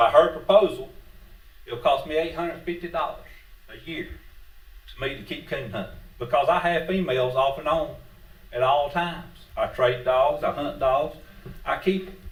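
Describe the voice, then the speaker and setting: In a Southern US accent, a man talks at a moderate pace with big swings in loudness and long, frequent pauses, amid noticeable background noise and audible room echo. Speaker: public commenter, retired police officer and hunter. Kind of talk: public comment at meeting. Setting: county board meeting.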